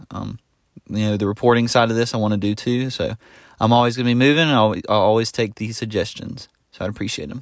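A man at a very fast pace, with a medium pitch, a Southern US accent, fairly even intonation, and a very clean recording with a silent background. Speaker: podcaster and YouTuber. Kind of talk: solo podcast update. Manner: casual, filler words.

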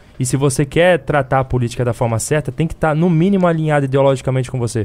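Man's voice of fairly high pitch with a dark, mellow tone and ordinary pitch variation. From Rio de Janeiro, Baixada Fluminense. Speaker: political activist. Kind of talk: casual live stream chat.

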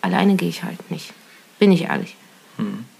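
A woman speaks over noticeable background noise. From Thuringia, Germany (Kochwitz near Weida). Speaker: hobby angler. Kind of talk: casual chat. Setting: own living room.

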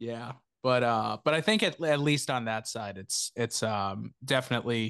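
The sound is dry and close, with no echo and a quiet background. Pitch varies in an ordinary way. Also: man. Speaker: podcast host. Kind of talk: casual chat. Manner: animated.

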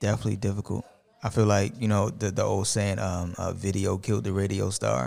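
Speaking at a fairly quick pace, a man with an American accent has a fairly low pitch, vocal fry and ordinary pitch variation. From US, Baltimore. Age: 30s. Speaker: podcaster. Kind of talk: casual chat.

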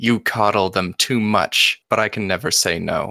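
A man does a gruff, put-on character voice at a fairly low pitch and moderate pace. The recording is very clean, dry and close, with no echo and a silent background. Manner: yelling.

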